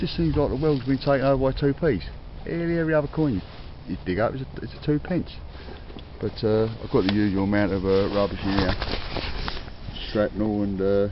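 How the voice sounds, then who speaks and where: With a Cockney accent, a man speaks fairly quickly in a fairly low pitch with lively intonation over noticeable background noise. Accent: Cockney London English. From London (Cockney). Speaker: metal detecting vlogger. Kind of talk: casual outdoor vlog commentary. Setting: outdoors in a forest. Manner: hesitant, many fillers.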